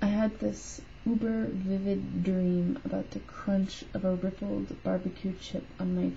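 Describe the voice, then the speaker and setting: A woman mumbles her words. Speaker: weight loss surgery patient vlogger. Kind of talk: reading own written note aloud. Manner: mumbled.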